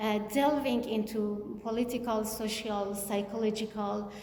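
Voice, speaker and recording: At a fairly slow pace, a woman with a non-native accent speaks at a fairly high pitch amid noticeable background noise and audible room echo. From Kurdistan region of Iran. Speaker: author. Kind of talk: book event interview. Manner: halting.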